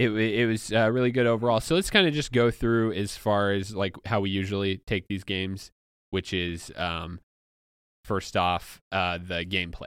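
Recorded very cleanly against a silent background, a man talks in a normal speaking voice at a fairly low pitch, with ordinary pitch variation and a moderate pace. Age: 30. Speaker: podcast host. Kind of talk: casual chat. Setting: studio.

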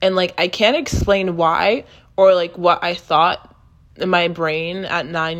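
A woman with a plain, everyday voice speaks at a moderate pace and a fairly low pitch. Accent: American. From Texas. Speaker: podcast host. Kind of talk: casual chat.

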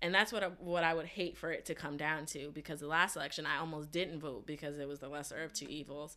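A woman talks at a very fast pace in a very deep, low pitch, with a bright, sharp tone. Her intonation stays fairly even on a very clean recording with a silent background. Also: hardly any pauses. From New Jersey. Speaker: journalist. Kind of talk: podcast panel discussion.

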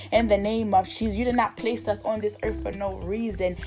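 A woman speaks with a warm tone at a fairly quick pace. Music plays in the background. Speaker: minister leading prayer. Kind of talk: fervent evening prayer, with repeated pleas to God. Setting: online video for a social media group. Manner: earnest, pleading, repetitive rhythm; casual, warm, encouraging.

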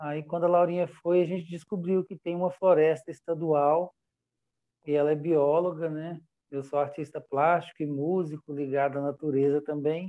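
A man talks at a fairly high pitch. His intonation is monotone and flat. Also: moderate pace. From Brazil, Minas Gerais (Belo Horizonte). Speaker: visual artist. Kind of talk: interview. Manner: halting.

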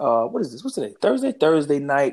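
A man speaks in an animated tone at a fairly high pitch. The recording is very clean, with a silent background. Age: 40s. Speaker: podcast co-host. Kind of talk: casual chat.

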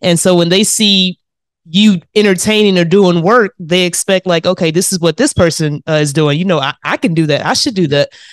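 A woman's unremarkable speaking voice with ordinary pitch variation, dry and close with no echo, on a very clean recording with a silent background. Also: fairly low pitch for a woman, fairly quick pace. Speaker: podcast host. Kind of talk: casual interview chat.

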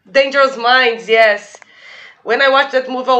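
A woman's high-pitched voice comes through amid noticeable background noise. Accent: Portuguese. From Brazil, São Paulo. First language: Portuguese. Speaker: podcast guest. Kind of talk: casual chat.

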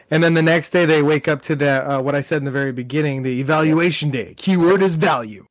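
Hardly pausing, a man with a fairly high voice races along at a very fast pace with ordinary pitch variation. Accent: American. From Southern California. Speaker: movie podcast co-host. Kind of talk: casual chat.

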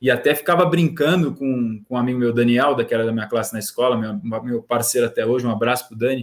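The speaker is a man whose pitch moves in an ordinary way. He talks very fast. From Brazil, Santos. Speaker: sports journalist. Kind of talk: casual chat. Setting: live stream.

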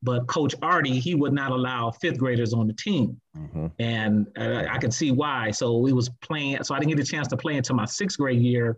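A man with an ordinary speaking voice talks at medium pitch and a moderate pace, his pitch varying in an ordinary way with hardly any pauses. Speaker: former high school quarterback. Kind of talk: casual chat.

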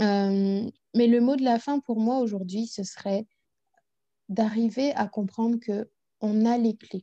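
Her voice fairly high in pitch yet dark and mellow in tone, a woman speaks at a very slow pace with long, frequent pauses and fairly even intonation, in a dry, close sound with no echo. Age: 30s. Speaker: personal development coach. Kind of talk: interview.

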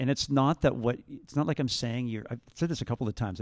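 Talking at a very fast pace with a Canadian accent, a man keeps a medium pitch and ordinary variation, recorded very cleanly against a silent background with a dry, close sound and no echo. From Ontario, Canada (Niagara region). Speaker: high school math teacher. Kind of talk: school assembly testimony.

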